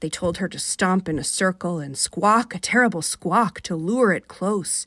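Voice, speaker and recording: Recorded very cleanly against a silent background, the sound is dry and close with no echo. A woman with an American accent speaks at a moderate pace and medium pitch, with ordinary pitch variation. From Rochester, New York. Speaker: fiction author. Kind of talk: short story reading on radio. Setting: radio studio. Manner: soothing.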